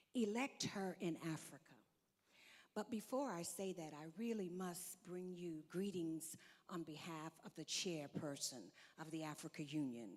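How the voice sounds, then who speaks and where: A woman with an American accent and a normal speaking voice, fairly low in pitch, with lively intonation at a fairly slow pace. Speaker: diplomat. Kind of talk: conference speech. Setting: stage with audience.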